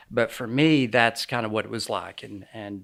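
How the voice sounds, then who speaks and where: A man with an American accent talks at a fairly slow pace with ordinary pitch variation. The recording is very clean, with a silent background. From New York City area. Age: 60s. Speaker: ministry founder, former wealth manager. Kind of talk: interview.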